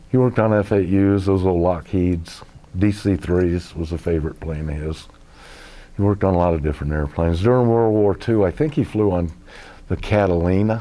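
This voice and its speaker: This man, with an American accent, has a very deep, low pitch and a dark, mellow tone, talking at a fairly quick pace with ordinary pitch variation. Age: 60s. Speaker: war veteran. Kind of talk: oral history interview.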